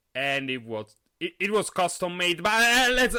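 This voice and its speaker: With music in the background, the voice moves through very wide pitch swings. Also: man. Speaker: podcast host. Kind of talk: casual podcast monologue. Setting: live stream. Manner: halting, many fillers and repetitions; animated.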